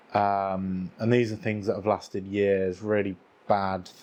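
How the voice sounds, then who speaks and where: Fairly low and flat, a man's monotone voice moves at a fairly slow pace. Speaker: video creator. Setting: on camera, talking to viewers.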